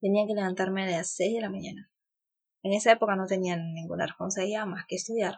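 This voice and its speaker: Words rush out very fast in a flat monotone. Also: woman, medium pitch for a woman. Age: 30s. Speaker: lawyer and blogger mother. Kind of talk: casual interview.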